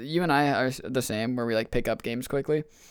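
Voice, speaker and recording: A man has a plain, everyday voice with a medium pitch. His pace is fairly quick. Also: very clean recording, silent background. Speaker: podcast guest and maker of dice. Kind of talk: casual chat. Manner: casual, slangy.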